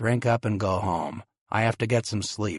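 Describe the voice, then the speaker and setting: A man puts on a raspy character voice at a medium pitch. The sound is dry and close, with no echo. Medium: read story. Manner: dry, restrained.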